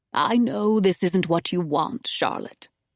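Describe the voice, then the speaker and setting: A woman's growling, put-on character voice at medium pitch, fairly slow, with lively intonation and dry, close sound with no echo. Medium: read story. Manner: calm, gentle.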